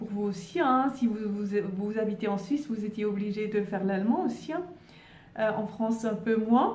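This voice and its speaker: Audible room echo surrounds a woman with a Swiss German accent, whose fairly high pitch shows ordinary variation. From German-speaking Switzerland. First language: Swiss German (speaking French). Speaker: spiritual YouTuber. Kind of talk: casual vlog monologue. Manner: halting, many fillers and repetitions.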